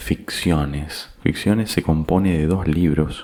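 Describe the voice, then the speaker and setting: Very deep and low, this man's voice is soft-spoken with fairly even intonation. He talks at a very slow pace. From Argentina. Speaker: voice announcer. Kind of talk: casual talk to camera.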